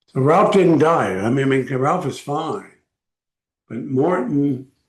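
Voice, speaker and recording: Somewhat breathy, a man talks at a very slow pace with lively intonation. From Texas, El Paso. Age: 80s+. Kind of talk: personal video blog. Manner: halting, with frequent fillers.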